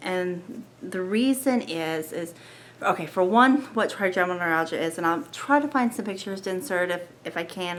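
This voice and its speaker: Soft-spoken and medium in pitch, a woman talks at a moderate pace with lively intonation. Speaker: lifestyle vlogger sharing health story. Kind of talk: personal testimony vlog. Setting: at home at night, family asleep. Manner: soft-spoken, quiet; hesitant, many fillers.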